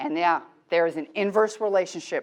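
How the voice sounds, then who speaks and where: The woman speaks at a moderate pace and a medium pitch. Her tone is animated. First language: not English. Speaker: teacher trainer. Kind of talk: workshop lecture.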